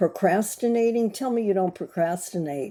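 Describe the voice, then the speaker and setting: On a very clean recording with a silent background, a woman with an American accent speaks at medium pitch in a dark, mellow tone with lively intonation. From USA. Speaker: glass artist and creativity coach. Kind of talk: casual talk to camera. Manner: slow; halting, many fillers.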